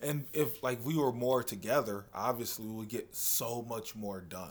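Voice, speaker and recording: With an American accent, a man talks at a moderate pace and medium pitch in a normal speaking voice, with ordinary pitch variation, on a very clean recording with a silent background. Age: 30s. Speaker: comedian. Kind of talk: casual chat.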